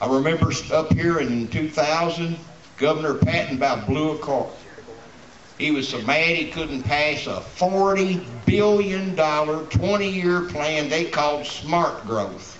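Speaking very slowly with a Kentucky accent, a man with a fairly high pitch and ordinary pitch variation is heard over light background noise and audible room echo. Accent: Kentucky Southern US. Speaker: rally speaker, gun rights activist. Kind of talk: rally speech. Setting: outdoor rally with crowd. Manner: fiery, defiant, blunt, plainspoken; rambling, conversational, shouting to a crowd. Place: street. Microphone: camera far.

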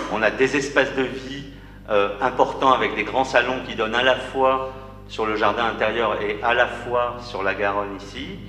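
Fairly slow, fairly even speech from a man at medium pitch, with light background noise and audible room echo. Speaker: architect. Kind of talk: project presentation. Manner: halting. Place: hall.

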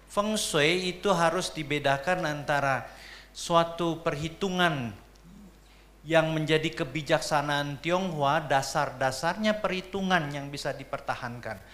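A man with a fairly high voice talks fairly slowly, his pitch shifting by a normal amount. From Jakarta, Indonesia. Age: 60s. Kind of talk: seminar lecture. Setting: seminar room with audience. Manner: animated. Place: hall. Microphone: handheld.

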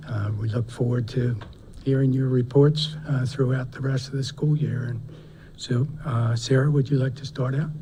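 Over noticeable background noise and audible room echo, a man speaks at a moderate pace in a flat, monotone delivery. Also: medium pitch for a man. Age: 60s. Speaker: school board member chairing meeting. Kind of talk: formal meeting chairing. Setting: school board meeting.

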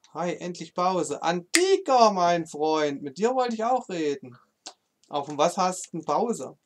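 Speaking with an East German accent, a man uses a high pitch and a fairly slow pace. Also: lively intonation. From eastern Germany. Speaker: gaming streamer. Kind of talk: live stream chat while gaming. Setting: live stream. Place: home room.

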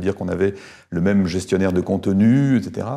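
Against a quiet background, a man speaks in a very deep, low voice with a dark, mellow tone and ordinary pitch variation. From northern France, Arras; France. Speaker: professor emeritus; professor emeritus, interviewee. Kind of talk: interview. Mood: calm, reflective. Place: home room. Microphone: lapel.

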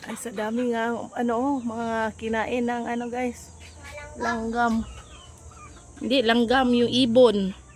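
A woman's very slow, monotone, flat speech in a fairly high pitch, with big swings in loudness and audible room echo. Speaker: vlogger, mother. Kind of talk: casual vlog narration.

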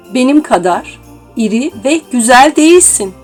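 Music plays in the background as a woman speaks. Her pitch is fairly high and her pace very slow. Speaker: voice narrator. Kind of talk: children's story reading.

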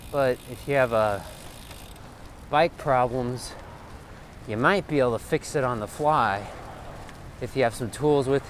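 Long, frequent pauses break up the speech. The sound is dry with no echo, over light background noise. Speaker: bike commuter vlogger. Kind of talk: casual vlog chat. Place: bicycle. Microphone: phone near.

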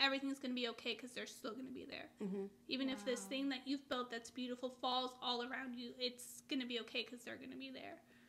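A woman speaks in a raised, projected voice with a bright, sharp tone. Her pace is very fast. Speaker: reaction video host. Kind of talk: casual group discussion. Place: home room. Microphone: camera far.

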